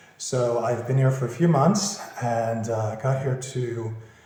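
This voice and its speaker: A man speaks in a Philadelphia accent. His tone is relaxed. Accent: American English, Philadelphia. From Philadelphia, USA. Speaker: property finder, business owner. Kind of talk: interview answer. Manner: casual, relaxed.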